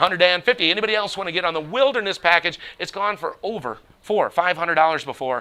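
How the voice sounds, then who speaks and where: An animated, high-pitched male voice with lively intonation at a very fast pace. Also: hardly any pauses. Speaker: auctioneer. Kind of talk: live auction calling.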